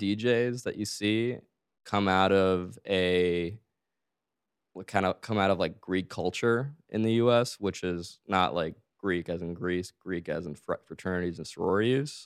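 In an American accent, a normal speaking voice moves at a fairly slow pace. The recording is very clean, with a silent background. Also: man, fairly low pitch for a man, ordinary pitch variation. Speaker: DJ and music producer, former city councilman. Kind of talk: interview.

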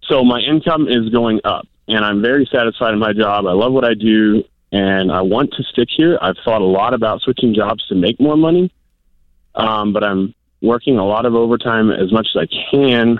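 A moderate pace, ordinary pitch variation, and a plain, everyday voice. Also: man, medium pitch for a man. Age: 20s. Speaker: church volunteer. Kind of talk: phone-in call.

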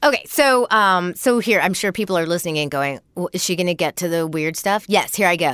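Speaking at a fairly quick pace with hardly any pauses, a woman uses a plain, everyday voice at a fairly low pitch with lively intonation, in a very clean recording with a silent background and a dry, close sound with no echo. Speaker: comedian. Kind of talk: casual chat.

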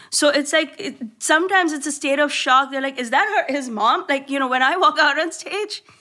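Raised, projected woman's voice, high-pitched with a bright, sharp tone, ordinary pitch variation, a fairly quick pace and hardly any pauses. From India. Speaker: comedian. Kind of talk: casual chat. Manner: animated.

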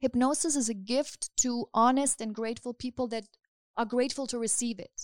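A woman's high-pitched voice at a fairly quick pace, fairly even intonation, and a dry, close sound with no echo. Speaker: hypnotist. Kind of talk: hypnosis session; casual chat.

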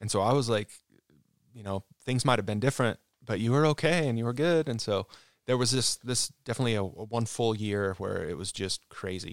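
Speaking in an American accent at a fairly quick pace, a man with an unremarkable speaking voice keeps a medium pitch and ordinary pitch variation, recorded dry and close with no echo. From Utah, Salt Lake area. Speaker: former pro snowboarder. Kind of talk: casual interview. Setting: studio.

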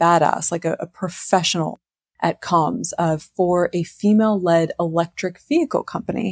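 Using an unremarkable speaking voice, a woman talks at a fairly slow pace with fairly low pitch and ordinary pitch variation, in a dry, close sound with no echo. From US, moved around (Navy family). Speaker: novelist. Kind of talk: casual interview.

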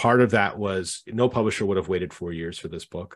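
In a Canadian accent, a man speaks at a fairly quick pace with a fairly low pitch, ordinary pitch variation and an unremarkable speaking voice. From Canada. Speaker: author and community manager. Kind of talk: casual interview.

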